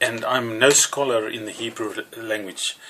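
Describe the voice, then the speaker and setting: A man's speech comes at a moderate pace through noticeable background noise. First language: Afrikaans. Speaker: religious teacher. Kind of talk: teaching sermon to camera. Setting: alone talking to a camera. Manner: halting with fillers.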